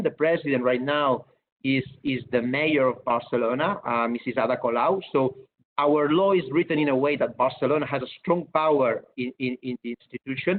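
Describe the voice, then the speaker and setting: Here a man speaks with a Catalan accent at a moderate pace. His pitch is fairly high, with ordinary variation. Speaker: city government official. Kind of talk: webinar presentation. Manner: halting, many repetitions.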